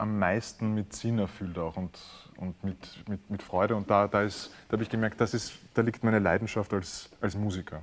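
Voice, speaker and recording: A man with an ordinary speaking voice talks at a moderate pace, keeping his intonation fairly even. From Austria, Vienna. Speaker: cellist and composer. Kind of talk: interview.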